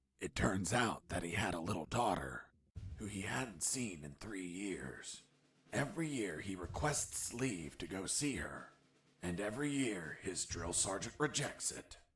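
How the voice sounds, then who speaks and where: In a put-on character voice, a man speaks at a moderate pace in a fairly low, deadpan tone while his pitch swings very widely. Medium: video game. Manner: deadpan, wry.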